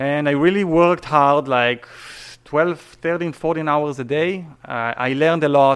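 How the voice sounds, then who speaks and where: A man speaks with an Israeli accent. His pace is moderate and his intonation fairly even. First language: Hebrew. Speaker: real estate agent. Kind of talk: interview.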